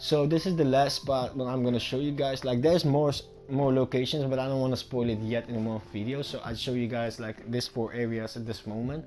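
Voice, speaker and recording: Over music in the background, a man with a non-native accent talks at a fairly quick pace, his medium pitch held in fairly even intonation. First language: not English. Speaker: gaming YouTuber. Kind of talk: gameplay tutorial commentary. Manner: casual, rambling with fillers.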